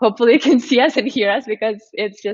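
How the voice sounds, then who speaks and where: A woman's very fast speech in a Russian accent. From Russia, Moscow. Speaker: live stream show host. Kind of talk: casual interview. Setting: live stream video call.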